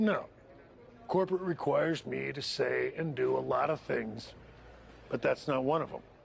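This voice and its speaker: A man's raspy, put-on character voice at a moderate pace with long, frequent pauses, over clear background noise. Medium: video game. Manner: persuasive, upbeat.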